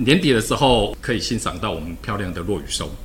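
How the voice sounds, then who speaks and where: A man with a Taiwanese accent and a fairly low pitch speaks at a fairly quick pace, with audible room echo and noticeable background noise. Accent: Taiwanese Mandarin. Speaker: government official. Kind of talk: casual chat; interview.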